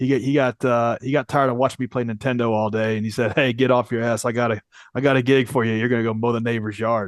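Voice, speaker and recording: A man with an American accent talks at a very fast pace and a medium pitch, in monotone, flat intonation. The sound is dry and close with no echo. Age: 40s. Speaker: entrepreneur. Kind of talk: interview.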